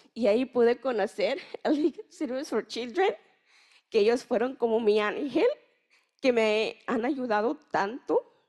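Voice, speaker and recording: The speaker talks at a fairly slow pace with long, frequent pauses and ordinary pitch variation. The background is quiet. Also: woman, high pitch for a woman. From Mexico, Chiapas. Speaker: youth researcher and migrant youth leader; panelist. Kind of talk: personal testimony. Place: hall. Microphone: handheld.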